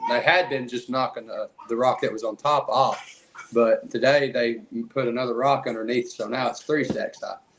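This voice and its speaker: Noticeable background noise sits behind this recording. A man talks at a moderate pace in an Appalachian accent. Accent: Southern US (Appalachian). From East Tennessee. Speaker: Bigfoot researcher, podcast guest. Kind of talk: casual chat.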